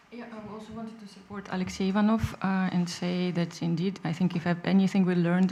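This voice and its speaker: A woman's dark, mellow, somewhat breathy voice, fairly low in pitch, at a moderate pace with fairly even intonation. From Russia. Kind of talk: panel discussion.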